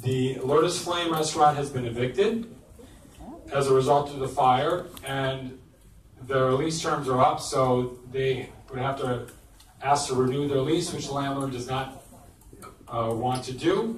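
A man speaks at a fairly slow pace with ordinary pitch variation and long, frequent pauses. There is audible room echo and light background noise. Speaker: community board chair. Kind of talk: public meeting. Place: hall.

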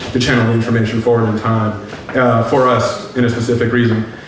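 Over music in the background and with audible room echo, a man speaks at a fairly quick pace in a monotone, flat intonation. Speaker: lecture presenter. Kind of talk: lecture. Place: hall.

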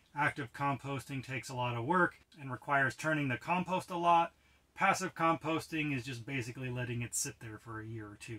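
A man's bright, sharp voice at a fairly quick pace, with ordinary pitch variation and big swings in loudness. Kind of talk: tutorial. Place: tent.

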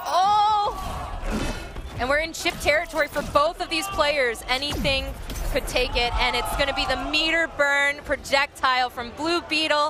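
Clear music sits in the background of a dry recording with no echo. A man speaks in an extremely high voice with ordinary pitch variation. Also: moderate pace. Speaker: esports fighting game commentator. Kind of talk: live esports match commentary. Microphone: headset.

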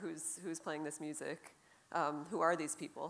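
A woman's fairly low voice, a normal speaking voice, with fairly even intonation at a fairly quick pace. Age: 40s. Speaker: jazz guitarist; panelist. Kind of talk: panel discussion. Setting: stage with audience. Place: stage. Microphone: handheld.

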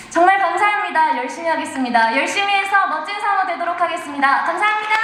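Noticeable background noise surrounds the voice. A woman speaks with lively intonation. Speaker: voice actor. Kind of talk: award acceptance speech.

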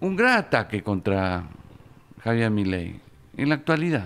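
A man speaks very slowly with long, frequent pauses, his bright, sharp tone swinging very widely in pitch. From Argentina. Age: 70s. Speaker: journalist and author; journalist. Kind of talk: interview. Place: studio. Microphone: studio mic.

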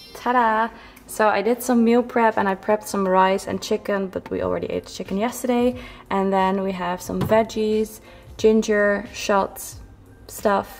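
Faint music plays behind a woman's voice. She talks at a fairly slow pace with fairly even intonation. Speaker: fitness vlogger. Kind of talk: casual vlog chat. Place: kitchen.

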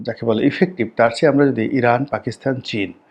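Pitched in the medium range, this man has a plain, everyday voice. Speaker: political commentator. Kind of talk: political commentary monologue.

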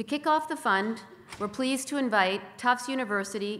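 The speaker is a woman at a moderate pace. Her pitch varies in an ordinary way. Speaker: corporate sponsor representative. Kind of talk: prepared speech. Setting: stage with audience. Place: hall. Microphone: podium.

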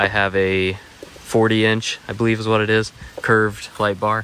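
With light background noise and a dry sound free of echo, a man speaks at a fairly low pitch in a flat monotone. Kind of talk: casual vlog chat. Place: forest. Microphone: phone near.

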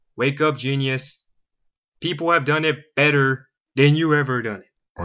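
This is a put-on character voice. It moves along at a moderate tempo. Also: man, fairly high pitch for a man. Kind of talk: tough-guy banter. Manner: cocky, sarcastic, taunting.

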